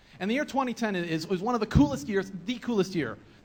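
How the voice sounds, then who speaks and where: Over noticeable background noise, a man with an American accent talks at a very fast pace in an animated tone. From Nebraska, US Midwest. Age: 20s. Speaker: video blogger. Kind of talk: conference presentation. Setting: stage with audience.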